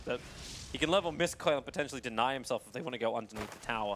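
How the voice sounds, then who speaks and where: A man at a medium pitch and a very fast pace, with ordinary pitch variation amid noticeable background noise. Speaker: esports commentator. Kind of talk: live commentary. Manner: animated.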